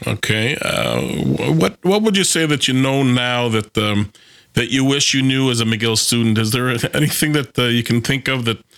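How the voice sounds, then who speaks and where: A man with an unremarkable speaking voice keeps a moderate pace, his pitch varying in an ordinary way. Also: medium pitch for a man, very even loudness. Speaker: podcast host. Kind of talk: interview.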